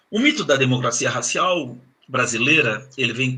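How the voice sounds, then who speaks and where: At a fairly slow pace, a man speaks in a plain, everyday voice. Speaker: professor. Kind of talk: lecture.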